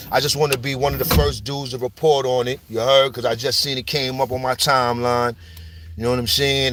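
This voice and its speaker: Over music in the background, a man talks in an animated tone at a fairly quick pace. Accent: New York. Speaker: street news commentator. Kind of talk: casual monologue. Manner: animated, slang-heavy.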